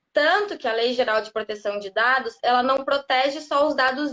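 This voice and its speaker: Moderate-paced female speech, high in pitch and with ordinary pitch variation. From southern Brazil, Rio Grande do Sul. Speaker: lawyer specializing in data protection. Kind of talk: live interview, explanatory. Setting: live stream on social media.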